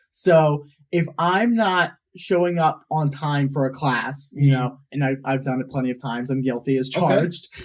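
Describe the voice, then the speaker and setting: A man with a normal speaking voice, a fairly high pitch and ordinary pitch variation, at a moderate pace. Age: young. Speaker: college student. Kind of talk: interview answer.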